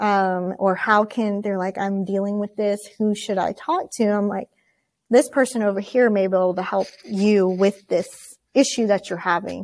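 At a moderate pace, a woman of medium pitch talks with fairly even intonation. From Oklahoma. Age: 30s. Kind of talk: interview. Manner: hesitant, many fillers.

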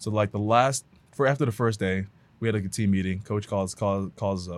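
With an American accent, a man talks at a fairly quick pace in a normal speaking voice, fairly low in pitch. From Houston, Texas. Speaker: former pro football player, motivational speaker. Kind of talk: casual interview chat.

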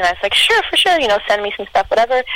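Speaking with a Canadian accent, a woman comes through over noticeable background noise. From Canada. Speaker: singer-songwriter and producer. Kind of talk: casual interview.

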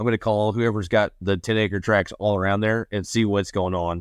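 A man's fairly low voice in a Texan accent, fairly quick and monotone, with a dry, close sound and no echo. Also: very clean recording, silent background. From West Texas. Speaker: land investor. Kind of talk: interview.

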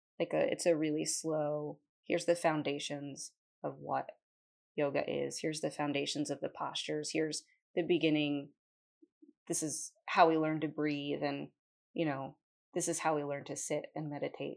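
Moderate speed from a woman, marked by long, frequent pauses. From New Jersey. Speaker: yoga teacher and massage therapist. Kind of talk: interview. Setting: in her studio. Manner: hesitant, many ums.

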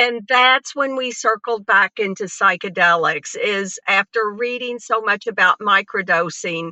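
A woman with a normal speaking voice, a fairly slow pace and ordinary pitch variation. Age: 60s. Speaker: cannabis dispensary co-owner. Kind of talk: personal testimony in interview.

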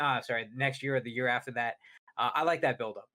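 This man has an unremarkable speaking voice with medium pitch. He talks at a fairly quick pace with fairly even intonation. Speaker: gaming show co-host. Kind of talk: casual chat about video games.

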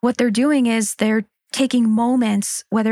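A woman with an American accent speaks in a plain, everyday voice at a fairly high pitch, with fairly even intonation. The sound is dry and close, with no echo. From Pennsylvania, small town. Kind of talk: interview.

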